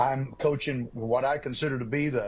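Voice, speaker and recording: A man's medium-pitched voice, somewhat breathy. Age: 70s. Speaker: football coach and pastor. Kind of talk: TV interview. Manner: animated.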